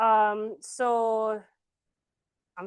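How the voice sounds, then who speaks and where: This woman's medium-pitched voice has a dry, close sound with no echo over a quiet background. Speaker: student presenter. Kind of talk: Q&A after class presentation. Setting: classroom, streamed online. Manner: loud; hesitant, many fillers.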